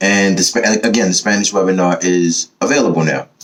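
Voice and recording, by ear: The man's voice is low-pitched with a fairly bright tone. He moves at a fairly quick pace with ordinary pitch variation.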